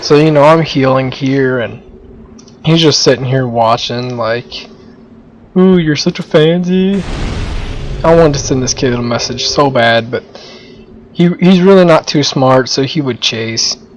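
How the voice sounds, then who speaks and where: The speech moves at a fairly slow pace with ordinary pitch variation and long, frequent pauses, over noticeable background noise. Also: man, fairly high pitch for a man. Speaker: gamer doing commentary. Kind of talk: gameplay commentary. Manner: casual.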